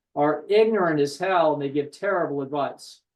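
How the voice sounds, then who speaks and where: Talking at a fairly quick pace, a man uses a fairly high voice with ordinary pitch variation. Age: 60s. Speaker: psychologist and therapist. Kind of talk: podcast discussion. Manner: animated.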